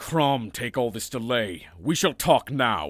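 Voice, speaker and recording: Speaking at a fairly slow pace, a man uses a medium pitch and lively intonation. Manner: blunt, impatient, gruff.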